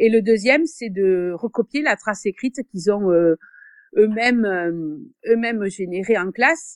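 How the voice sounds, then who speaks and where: A woman with a strong southern French accent speaks at a fairly slow pace and fairly high pitch, with lively intonation and long, frequent pauses. The sound is dry and close with no echo, over a quiet background. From southern France, Béziers. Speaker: secondary school French teacher. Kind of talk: interview. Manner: hesitant, many fillers.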